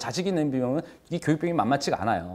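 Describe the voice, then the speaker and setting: The recording is very clean, and the background is silent. Through it, a man speaks very rapidly. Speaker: real estate instructor. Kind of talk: lecture. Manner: fast.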